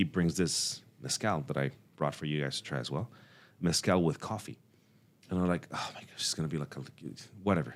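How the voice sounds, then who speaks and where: Speaking at a fairly quick pace, a man uses a very deep, low pitch with vocal fry and ordinary pitch variation. Long, frequent pauses break his speech on a very clean recording with a silent background. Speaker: cafe owner and coffee industry figure. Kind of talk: podcast interview. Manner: halting with many repeated words.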